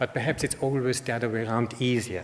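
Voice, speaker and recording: Medium pitch from a man in an Austrian accent, ordinary pitch variation, and noticeable background noise. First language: German. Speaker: information designer, conference speaker. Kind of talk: conference talk. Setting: stage with audience. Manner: halting, many fillers.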